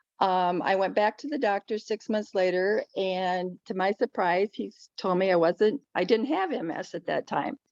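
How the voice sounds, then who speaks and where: A woman with an ordinary speaking voice at medium pitch, ordinary pitch variation, a moderate pace and hardly any pauses, in a dry, close sound with no echo. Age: 60s. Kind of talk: panel presentation, personal testimony.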